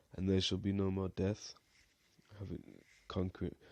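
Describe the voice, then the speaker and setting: A mumbling man with a very deep, low pitch and a dark, mellow tone, against a quiet background. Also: dry, close sound with no echo. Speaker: Bible teacher. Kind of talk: bible study talk.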